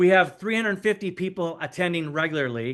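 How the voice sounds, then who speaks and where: A man with an American accent talks at a fairly quick pace in a high pitch. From United States. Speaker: pastor and church coach. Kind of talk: presentation.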